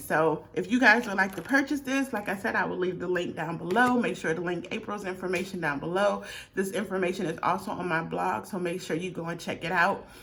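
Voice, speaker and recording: A woman at a medium pitch and a fairly quick pace, with ordinary pitch variation, noticeable background noise and audible room echo. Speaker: beauty vlogger. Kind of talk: product review. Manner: fast.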